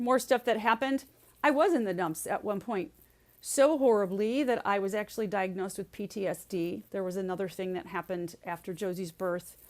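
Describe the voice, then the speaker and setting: In a very clean recording with a silent background, a woman with an unremarkable speaking voice talks fairly quickly at a medium pitch with lively intonation. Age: 60s. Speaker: resilience speaker and leadership coach. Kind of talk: podcast interview.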